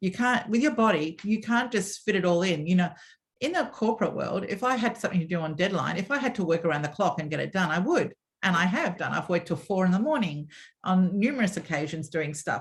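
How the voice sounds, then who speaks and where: In an Australian accent, a woman talks at a very fast pace with lively intonation. Her voice is somewhat breathy and sits at a medium pitch. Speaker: former media executive and swim school founder. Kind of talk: interview storytelling. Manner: animated.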